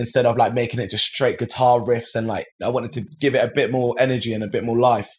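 A man with a London accent talks at a very fast pace with hardly any pauses. His medium-pitched voice is somewhat breathy. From south London, England. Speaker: musician. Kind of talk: interview. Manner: energetic.

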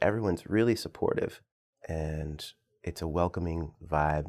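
With an American accent, a man talks on a very clean recording against a silent background. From Northern Virginia. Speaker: jazz saxophonist. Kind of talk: casual interview.

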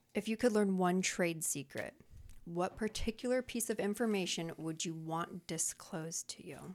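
A soft-spoken woman talks at a medium pitch and a moderate pace. Her pitch varies in an ordinary way. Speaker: podcast co-host. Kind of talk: casual chat.

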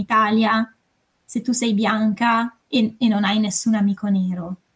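Fairly high in pitch, this woman has an ordinary speaking voice. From northern Italy, Varese. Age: 20s. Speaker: consultant and novelist. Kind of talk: casual podcast chat.

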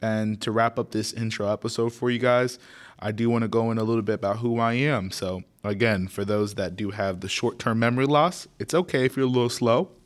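Speaking at a fairly quick pace with an American accent, this is an unremarkable speaking voice with ordinary pitch variation, captured in a very clean recording with a silent background. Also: man, medium pitch for a man. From Florida, Naples (Haitian family). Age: young. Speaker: podcast host. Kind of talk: casual solo podcast intro.

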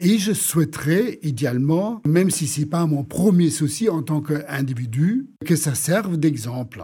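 Here a man with a German accent has a dark, mellow tone and a fairly high pitch. He talks at a fairly slow pace with lively intonation. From Germany. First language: German (speaking French). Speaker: urban planner and economist. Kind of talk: interview. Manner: halting, repeats words.

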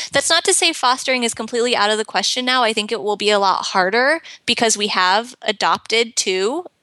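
A woman's fairly high, bright and sharp voice with an American accent, lively intonation, very even loudness, a fairly quick pace and hardly any pauses. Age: 30s. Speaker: pet portrait artist and blogger. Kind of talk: casual interview chat.

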